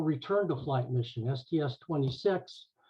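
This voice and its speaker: Somewhat breathy, a man speaks with an American accent at a fairly high pitch. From California, Silicon Valley. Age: 60s. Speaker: aerospace engineer, former NASA intern. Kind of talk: presentation talk. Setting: video call. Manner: halting, many fillers and restarts.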